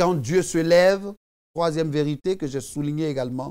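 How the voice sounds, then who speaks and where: The background is quiet as a man speaks. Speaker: preacher. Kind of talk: devotional sermon, preaching and prayer. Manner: earnest, fervent, exhortative, addressing the viewer as 'tu'. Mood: fervent, exhorting. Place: studio. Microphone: lapel.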